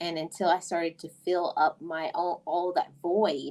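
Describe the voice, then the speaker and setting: A woman has an ordinary speaking voice, fairly low in pitch, with fairly even intonation. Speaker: podcast host. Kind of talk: casual chat.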